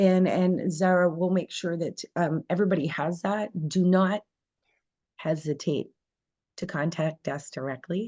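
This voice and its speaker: With a Canadian Maritime accent, a woman speaks at a fairly slow pace in a dark, mellow tone and a fairly low pitch. Her intonation stays fairly even over a quiet background. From New Brunswick, Canada. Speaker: language school president. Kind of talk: information session presentation.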